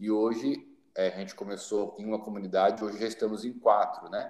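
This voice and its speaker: A man speaks at a moderate pace in a fairly low, flat monotone. Noticeable background noise sits behind him. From Brazil, São Paulo city. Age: 30s. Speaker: social project leader and missionary. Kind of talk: podcast interview.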